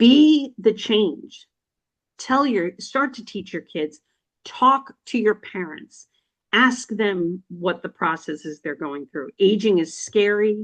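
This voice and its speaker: The pitch swings very widely. The pace is very slow. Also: woman, medium pitch for a woman. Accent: American. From New Jersey. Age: 60s. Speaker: financial podcast host, chamber member. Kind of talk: interview. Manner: animated; halting.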